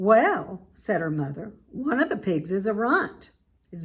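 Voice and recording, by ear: The intonation is lively as someone is reading aloud in a natural voice.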